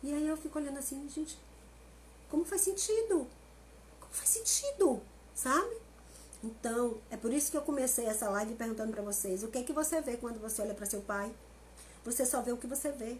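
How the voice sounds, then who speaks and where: At a high pitch, a woman speaks at a fairly quick pace with very wide pitch swings. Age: 50s. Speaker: family constellation therapist. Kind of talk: live stream talk. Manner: animated.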